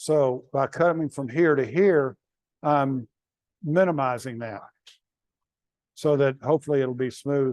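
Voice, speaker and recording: In a Southern US accent, the speaker goes at a fairly slow pace with long, frequent pauses. The pitch varies in an ordinary way. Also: man, fairly high pitch for a man. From North Carolina. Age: 70s. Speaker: woodturning demonstrator. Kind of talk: live demonstration. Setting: club meeting with audience. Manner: halting.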